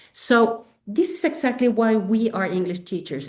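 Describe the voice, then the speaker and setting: Speaking at a moderate pace, a woman with a medium pitch talks in a Spanish accent. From Mexico. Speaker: English teacher and textbook author. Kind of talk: webinar presentation. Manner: animated, frequent fillers.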